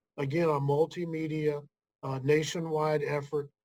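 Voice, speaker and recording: This is a plain, everyday voice from a man at a fairly high pitch. He speaks at a fairly slow pace with fairly even intonation. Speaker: nonprofit executive director. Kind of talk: interview.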